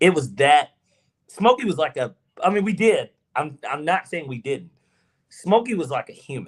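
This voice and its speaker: In an animated tone, a man with a high pitch talks at a moderate pace, with very wide pitch swings and long, frequent pauses. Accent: Southern. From US South, Georgia. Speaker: podcast co-host. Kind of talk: casual chat.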